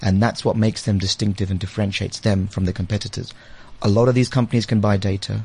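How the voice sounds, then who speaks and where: A man speaks very fast in a fairly low pitch, with a dark, mellow tone. His voice is somewhat breathy and his intonation stays fairly even. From London, England. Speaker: advertising agency managing director. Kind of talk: casual interview. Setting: studio.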